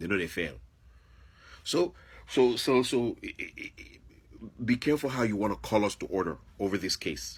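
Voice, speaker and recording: A man talks with an African accent and vocal fry. His tone is animated, with lively intonation. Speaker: video blogger. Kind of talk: monologue commentary.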